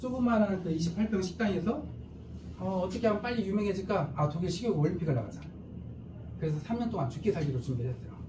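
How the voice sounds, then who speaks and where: With audible room echo, a man talks at a very fast pace and a high pitch, using lively intonation and long, frequent pauses. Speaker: company CEO presenting business. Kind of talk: sales seminar presentation.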